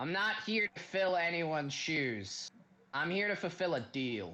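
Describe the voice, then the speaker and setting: Putting on a character voice, a man speaks high for a man with lively intonation at a moderate pace. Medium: actual play.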